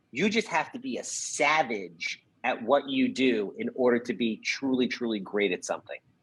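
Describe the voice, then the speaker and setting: A man speaks in an animated tone at a moderate pace, with a slight New York accent. He hardly pauses at all. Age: 40s. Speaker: real estate investor. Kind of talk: podcast interview.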